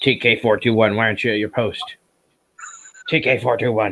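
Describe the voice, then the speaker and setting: Putting on a character voice, a man talks at a fairly quick pace and medium pitch. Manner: stern, scolding.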